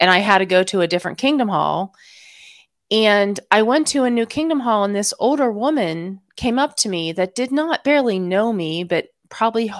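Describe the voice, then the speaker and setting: In a plain, everyday voice, a woman speaks at a medium pitch with lively intonation, captured in a very clean recording with a silent background. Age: 40s. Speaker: former Jehovah's Witness, YouTuber. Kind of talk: interview.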